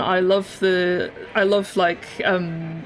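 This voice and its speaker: Noticeable noise lingers behind a woman whose intonation stays fairly level. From Scotland. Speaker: digital artist streamer. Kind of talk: casual live-stream chat while drawing. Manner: casual, with many fillers and repetitions.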